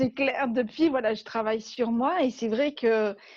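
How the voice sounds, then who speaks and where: The speaker has a southern French accent. The pace is fairly slow. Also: woman. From southern France. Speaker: life coach for entrepreneurs. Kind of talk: interview.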